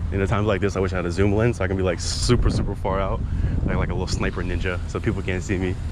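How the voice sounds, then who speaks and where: A man rushes along at a very fast pace, the sound dry with no echo but noticeable background noise present. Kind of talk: casual vlog chat. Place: street. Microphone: phone near.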